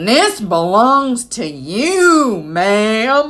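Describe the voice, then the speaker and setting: A woman puts on a character voice, pitched fairly high, with very wide swings in pitch. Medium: read story. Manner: boastful.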